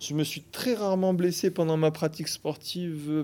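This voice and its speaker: On a very clean recording with a silent background, a man with a dark, mellow tone and fairly high pitch speaks at a moderate pace with ordinary pitch variation. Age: 30s. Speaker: fitness coach. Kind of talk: interview. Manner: halting.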